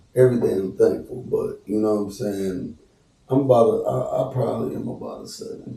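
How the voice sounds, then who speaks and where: With noticeable background noise present, a man talks at a moderate pace. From US Midwest, Cleveland, Ohio. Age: 30s. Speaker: celebrity barber and rapper. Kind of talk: casual podcast interview.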